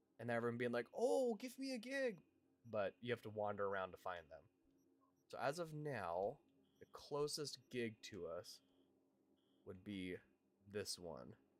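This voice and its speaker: The speaker has an American accent and moves at a fairly slow pace with long, frequent pauses. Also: man. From Washington State, US. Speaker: gaming streamer. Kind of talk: live gameplay stream chat. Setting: livestream. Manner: animated.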